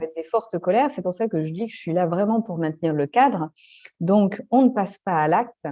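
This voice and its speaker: A woman's normal speaking voice, fairly low in pitch, with lively intonation at a moderate pace and a dry, close sound with no echo. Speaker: family constellations facilitator. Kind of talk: interview answer.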